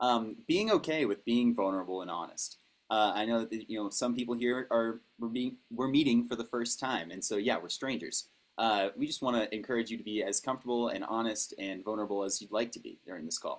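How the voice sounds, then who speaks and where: Speaking at a fairly quick pace, a man uses a medium pitch with ordinary variation. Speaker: workshop facilitator. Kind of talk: online workshop facilitation. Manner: fast; many fillers and restarts.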